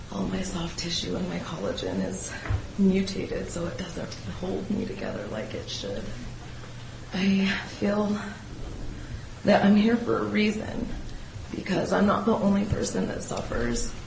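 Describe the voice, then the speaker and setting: A woman talks at a fairly slow pace with long, frequent pauses, amid noticeable background noise and audible room echo. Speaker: defendant. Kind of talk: testimony. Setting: courtroom.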